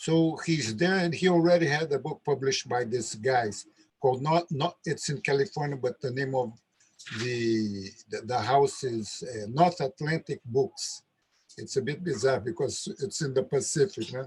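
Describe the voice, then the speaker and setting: With a Brazilian Portuguese accent, a man speaks in a somewhat breathy, fairly high-pitched voice with lively intonation. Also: moderate pace. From Brazil, Rio de Janeiro. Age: 70s. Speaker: capoeira master. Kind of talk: casual chat. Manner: halting.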